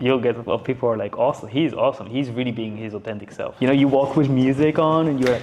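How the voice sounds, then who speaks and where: A man speaks very fast at a medium pitch with a non-native accent, barely pausing at all. His intonation stays fairly even over noticeable background noise. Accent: non-native English accent, reduced. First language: not English. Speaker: business and content coach. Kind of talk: casual chat. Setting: studio.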